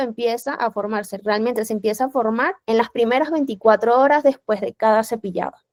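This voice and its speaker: A woman at a fairly quick pace with ordinary pitch variation, in dry, close sound with no echo. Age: young. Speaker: dentist, periodontal specialist. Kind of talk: lecture.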